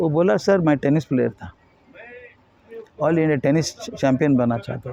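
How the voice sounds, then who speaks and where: This man talks with lively intonation at a fairly high pitch. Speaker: educationist and motivational speaker. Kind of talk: interview. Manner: somewhat halting non-native Hindi mixed with English.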